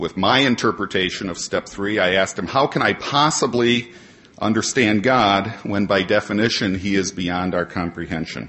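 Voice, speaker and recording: Speaking with an American accent and a normal speaking voice, a man talks at a moderate pace and fairly low pitch with ordinary pitch variation. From Ohio, Cleveland Heights. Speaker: AA convention speaker. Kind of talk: prepared talk to audience. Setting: stage with audience.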